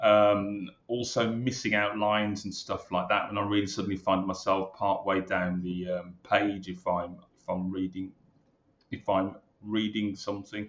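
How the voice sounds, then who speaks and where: Speaking with a Brummie accent, a man keeps a fairly low pitch and monotone, flat intonation at a moderate pace. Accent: Brummie (Birmingham English). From Birmingham, England. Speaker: retired police superintendent. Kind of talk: interview.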